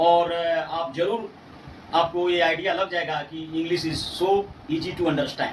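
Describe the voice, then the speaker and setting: Over noticeable background noise, a man with a Bihari accent talks at a moderate pace in a high pitch with a monotone, flat intonation. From Bihar, India. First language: Bhojpuri (speaking Hindi). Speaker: English language teacher. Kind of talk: tutorial. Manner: hesitant, with filler sounds and self-corrections.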